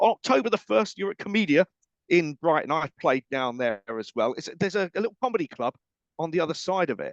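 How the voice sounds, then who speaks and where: A man with an English accent, a high pitch and very wide pitch swings, at a very fast pace, in a dry, close sound with no echo. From England. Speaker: radio host. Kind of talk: casual interview chat.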